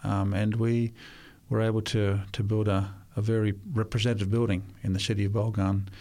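Dark and mellow in tone, a man speaks fairly quickly with an Australian accent, his fairly low pitch held in monotone, flat intonation. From Australia, Sydney. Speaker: volunteer missionary builder. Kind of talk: interview.

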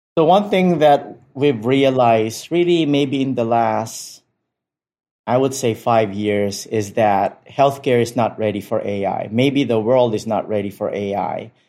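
Speaking at a fairly slow pace, a man has a dark, mellow tone, a medium pitch and ordinary pitch variation. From Philippines, Manila. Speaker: physician-scientist. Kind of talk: interview.

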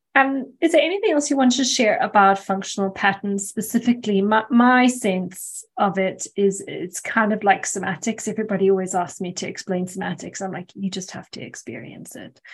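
A somewhat breathy woman's voice at medium pitch and a fairly quick pace. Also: ordinary pitch variation, big swings in loudness. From South Africa. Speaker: podcast host. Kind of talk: podcast interview.

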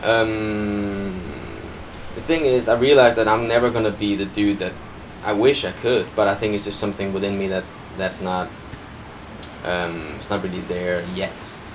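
Amid noticeable background noise and audible room echo, a man with a Danish accent speaks at a fairly low pitch with ordinary pitch variation and long, frequent pauses. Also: moderate pace. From Denmark. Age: 20s. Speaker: dancer and choreographer. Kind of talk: casual chat. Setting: outdoors on a balcony.

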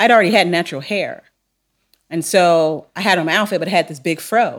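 Recorded very cleanly against a silent background, a woman with a fairly low pitch and ordinary pitch variation speaks with an American accent. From Long Beach, California. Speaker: theology professor. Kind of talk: interview conversation. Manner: laid back.

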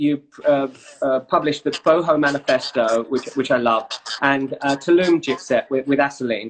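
Using a normal speaking voice, a man talks at a fairly slow pace with a fairly high pitch. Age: 40s. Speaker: travel website founder and interviewer. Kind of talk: casual interview over Instagram Live. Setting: Instagram Live video stream.

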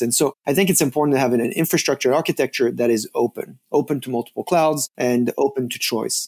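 At a very fast pace, a man with a French accent speaks in a fairly high pitch with lively intonation. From France. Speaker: data and analytics executive. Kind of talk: interview.

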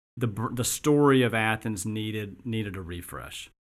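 Here a man with a medium pitch uses an ordinary speaking voice at a moderate pace. The recording is very clean, with a silent background. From US South, Augusta, Georgia. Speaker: business founder and CEO. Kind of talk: interview. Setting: studio.

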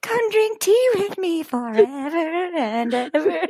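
A put-on character voice sings along at an extremely high pitch, sing-song with very wide pitch swings. The pace is fairly slow. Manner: creepy sing-song, inviting.

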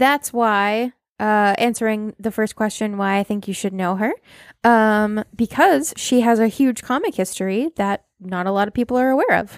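A woman with a plain, everyday voice and an American accent speaks at a moderate pace in a fairly high voice with ordinary pitch variation, in a very clean recording with a silent background and a dry, close sound with no echo. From Massachusetts, US. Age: 30s. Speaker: podcast host presenting the topic. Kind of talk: casual chat.

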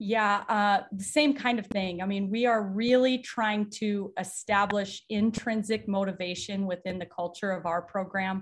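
Somewhat breathy, fairly slow speech with hardly any pauses and fairly even intonation. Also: woman, medium pitch for a woman. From South Dakota, small town. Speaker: college basketball coach. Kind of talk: interview. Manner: halting.

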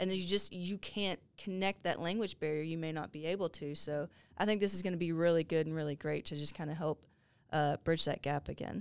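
A Southern US accent at a fairly quick pace, with fairly even intonation. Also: woman, fairly low pitch for a woman. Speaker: police department staff co-host. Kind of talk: casual chat.

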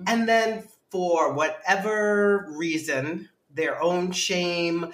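A woman speaks with an American accent. Her intonation is fairly even. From New York City, Manhattan. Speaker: writer and director. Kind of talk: casual chat.

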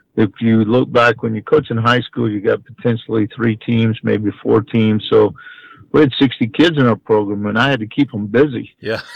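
A man with a medium-pitched, normal speaking voice talks at a moderate pace in an American accent, his intonation fairly even and the sound dry and close with no echo. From Texas, Houston. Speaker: college baseball head coach. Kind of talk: interview.

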